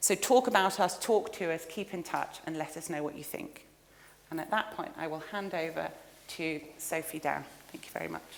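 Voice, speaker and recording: Her loudness swings widely while this woman talks at a fairly low pitch with ordinary pitch variation, and noticeable background noise runs beneath her. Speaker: research centre director giving a lecture. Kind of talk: lecture. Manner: fast.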